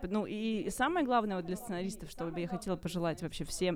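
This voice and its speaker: A woman at a medium pitch and fairly quick pace, ordinary pitch variation, an ordinary speaking voice. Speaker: screenwriter and producer. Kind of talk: casual chat.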